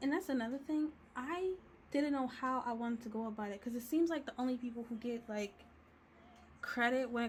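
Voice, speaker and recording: Over noticeable background noise, a woman talks at a moderate pace in a high pitch, her tone animated and her pitch variation ordinary. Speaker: digital artist and video creator. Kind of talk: casual chat while coloring. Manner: casual, rambling chat.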